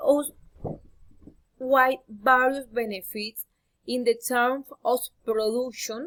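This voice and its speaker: Using a Spanish accent, a woman speaks at a very slow pace with a high pitch and fairly even intonation. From Colombia. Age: 20s. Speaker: university student. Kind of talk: class presentation. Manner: halting, self-correcting.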